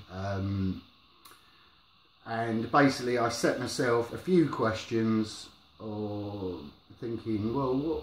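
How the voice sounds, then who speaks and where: A man at a very slow pace with ordinary pitch variation, amid noticeable background noise and audible room echo. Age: 40s. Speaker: vlogger sharing experience of depression. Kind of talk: personal vlog monologue. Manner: mumbling; halting, hesitant.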